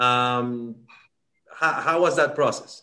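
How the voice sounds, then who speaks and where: The voice has a bright, sharp tone and a Spanish accent. It moves at a very slow pace. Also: man. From Dominican Republic. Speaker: sports podcast host. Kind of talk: bilingual interview. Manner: halting.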